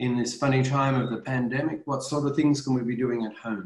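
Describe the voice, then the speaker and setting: A man speaks at a moderate pace in a somewhat breathy voice, with audible room echo over a quiet background. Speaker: professor presenting a webinar. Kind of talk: webinar talk to parents. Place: home room. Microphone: webcam.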